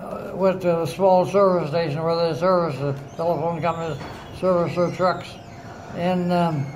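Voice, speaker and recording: A man with a high pitch speaks in a monotone, flat intonation over noticeable background noise. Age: 80s+. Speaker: Navy veteran, retired government mapmaker. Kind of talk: casual reminiscing with family. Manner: slow, hesitant.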